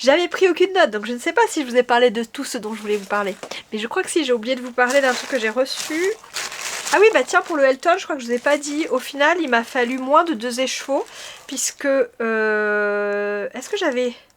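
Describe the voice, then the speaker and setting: A woman speaks at a high pitch with lively intonation and a moderate pace. There is noticeable background noise. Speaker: knitting podcaster. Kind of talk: casual chat. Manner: hesitant, many fillers.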